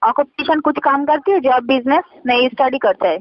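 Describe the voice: With a dry, close sound and no echo, a woman speaks at a fairly quick pace in a high pitch with ordinary pitch variation.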